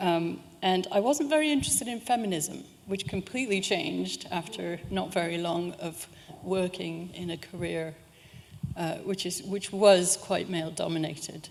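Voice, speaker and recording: A woman speaks with a fairly low pitch. Noticeable background noise can be heard behind her. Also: ordinary pitch variation, moderate pace. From California, US. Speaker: university lecturer. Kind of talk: public talk. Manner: conversational with many fillers.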